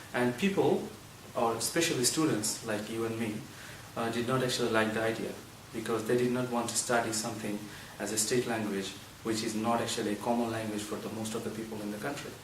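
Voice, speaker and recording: Very fast, monotone, flat speech from a man with a Bengali accent at medium pitch, with audible room echo and noticeable background noise. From Bangladesh. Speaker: university student. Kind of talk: interview.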